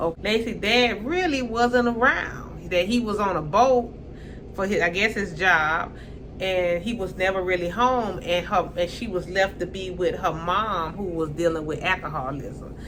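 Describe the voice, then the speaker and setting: A woman with a strong Southern US accent, medium pitch and ordinary pitch variation, an animated tone at a moderate pace, amid noticeable background noise and audible room echo. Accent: strong Southern country dialect. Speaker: YouTuber reality TV commentator. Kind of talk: casual commentary monologue.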